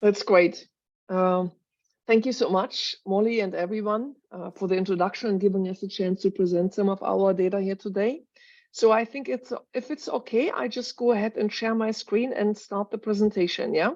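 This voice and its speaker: At a moderate pace, a woman speaks with a German accent against a quiet background. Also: medium pitch for a woman, ordinary pitch variation. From Germany, Berlin. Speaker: cancer research professor. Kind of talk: scientific presentation.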